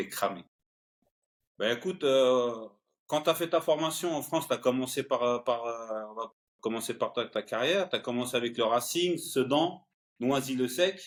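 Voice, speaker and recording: A man at a medium pitch, ordinary pitch variation, a fairly slow pace and long, frequent pauses. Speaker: podcast host. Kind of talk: interview.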